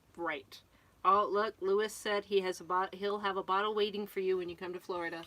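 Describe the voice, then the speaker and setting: Bright and sharp in tone, a woman with an American accent talks at a medium pitch and fairly quick pace in a monotone, flat intonation. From Connecticut, New England. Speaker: RV vlogger. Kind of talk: casual live-stream chat.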